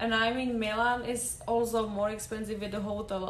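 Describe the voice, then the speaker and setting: A woman with a Czech accent speaks at a moderate pace in a fairly high voice with fairly even intonation and audible room echo. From Czech Republic. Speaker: podcast guest. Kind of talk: casual chat.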